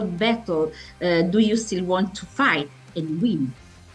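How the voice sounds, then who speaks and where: Over music in the background, a woman with an Italian accent speaks at a very slow pace, her pitch swinging very widely. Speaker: music magazine interviewer. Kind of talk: interview. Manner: halting.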